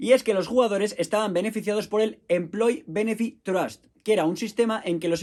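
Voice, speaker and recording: A man with a Spanish accent talks at a moderate pace and a high pitch. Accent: Spanish (Spain). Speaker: football history podcaster. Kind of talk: podcast monologue.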